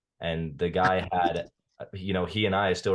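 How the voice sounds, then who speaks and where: This man has a very deep, low voice. He speaks with a General American accent. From US West, Las Vegas. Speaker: trader. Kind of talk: podcast interview.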